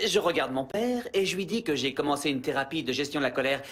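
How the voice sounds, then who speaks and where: This man's intonation is lively. He speaks at a very fast pace. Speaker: voice actor. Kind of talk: dubbing demo reel. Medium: dub.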